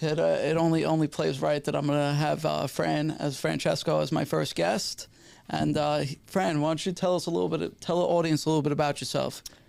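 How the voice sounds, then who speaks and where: Speaking at a fairly quick pace with very even loudness, a man talks in a New York accent. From New York City, Staten Island. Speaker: podcast host. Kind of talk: casual chat; show introduction.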